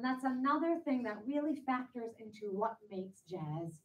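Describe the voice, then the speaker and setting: A woman with a New York accent speaks at a moderate pace, somewhat breathy, with lively intonation. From US Northeast, New York. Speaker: jazz singer. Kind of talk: lecture.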